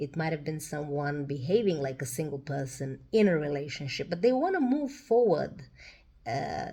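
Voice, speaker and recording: Somewhat breathy speech moves at a moderate pace. The intonation is lively. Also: woman, very deep, low pitch for a woman. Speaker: tarot reader. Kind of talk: tarot reading monologue. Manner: hesitant, many fillers.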